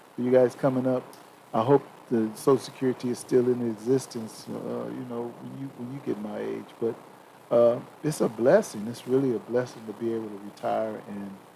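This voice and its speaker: Noticeable background noise sits behind a man of medium pitch who talks at a fairly quick pace. His intonation stays fairly even, while his loudness swings widely. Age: 60s. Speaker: retiree, father of the hosts. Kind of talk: casual chat. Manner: halting, many repetitions.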